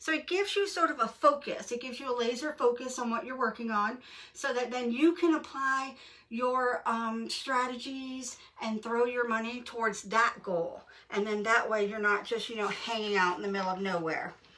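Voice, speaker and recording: There is noticeable background noise as a woman speaks at a moderate pace. Her voice is high-pitched with lively intonation. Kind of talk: casual tutorial talk to camera. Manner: hesitant with fillers.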